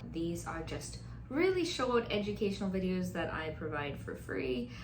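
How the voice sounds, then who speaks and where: Noticeable background noise and audible room echo surround a woman talking at a moderate pace. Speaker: mental health counselor. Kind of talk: educational talk. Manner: casual, conversational.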